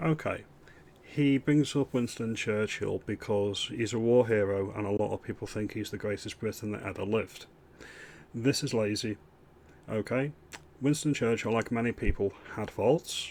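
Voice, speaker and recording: Speaking with a northern English accent, a man uses a medium pitch, ordinary pitch variation and a moderate pace, broken by long, frequent pauses. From northern England. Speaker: political commentary youtuber. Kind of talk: reaction commentary. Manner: animated.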